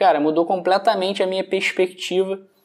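A man's high-pitched voice sounds against a quiet background. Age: 20s. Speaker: digital marketing agency owner. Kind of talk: testimonial. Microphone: phone near.

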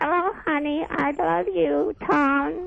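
A woman's put-on character voice, high in pitch and very slow in pace. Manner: sweet, affectionate.

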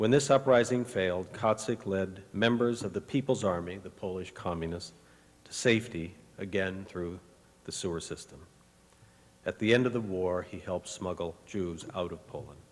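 A man with an unremarkable speaking voice, pitched fairly low, with ordinary pitch variation. His loudness swings widely as he talks at a moderate pace. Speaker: university president. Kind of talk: ceremonial speech. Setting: stage with audience.

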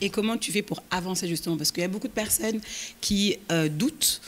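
Here a woman uses a normal speaking voice with ordinary pitch variation. She moves at a fairly quick pace. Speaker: podcast host; podcast host, moderator. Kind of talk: live interview moderation. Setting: stage with audience. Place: hall. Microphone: handheld.

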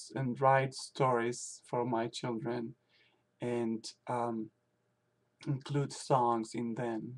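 Here a man speaks at a very slow pace. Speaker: language teacher. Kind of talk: video blog monologue. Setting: at home. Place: home room. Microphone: webcam.

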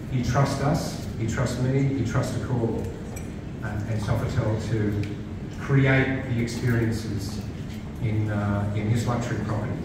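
A man talks at a fairly slow pace in a room with audible echo and loud background noise. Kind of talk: opening speech. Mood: warm, grateful. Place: bar.

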